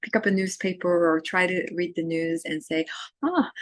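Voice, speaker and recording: The speech moves at a moderate pace. Its pitch shifts in an ordinary way. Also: woman. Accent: Arabic. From Syria, Damascus. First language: Arabic. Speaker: university literature instructor. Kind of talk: course introduction lecture. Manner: hesitant with many fillers.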